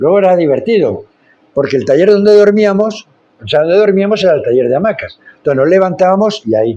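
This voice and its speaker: A man's dark, mellow, high-pitched voice at a very fast pace with lively intonation. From Spain. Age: 60s. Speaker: founder of social inclusion projects. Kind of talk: podcast interview.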